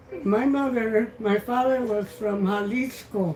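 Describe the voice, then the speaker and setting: A woman with fairly high pitch speaks very slowly in an American accent, with ordinary pitch variation and noticeable background noise. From Boyle Heights, Los Angeles. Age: 80s+. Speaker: retired school worker. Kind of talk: life story telling. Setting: home kitchen.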